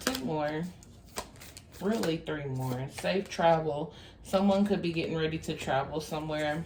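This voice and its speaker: A woman's very deep, low voice at a very slow pace, with ordinary pitch variation, audible room echo and noticeable background noise. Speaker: tarot reader. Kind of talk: tarot reading monologue.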